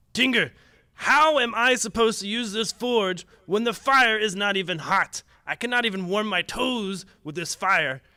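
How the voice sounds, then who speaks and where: A man shouts in a put-on character voice, high-pitched and at a moderate pace, on a very clean recording with a silent background. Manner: yelling, angry.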